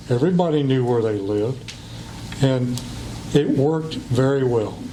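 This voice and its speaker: Against noticeable background noise and audible room echo, a man talks in an American accent. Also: medium pitch for a man, ordinary pitch variation, moderate pace. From western Virginia, Clifton Forge. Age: 60s. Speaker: school board candidate. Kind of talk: public comment speech. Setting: county board meeting.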